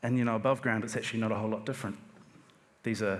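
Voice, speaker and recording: Amid audible room echo, a man with a New Zealand accent speaks at a fairly low pitch. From New Zealand, Hawke's Bay. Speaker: type designer. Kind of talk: conference talk. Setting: stage with audience. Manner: halting, with frequent fillers and repeats.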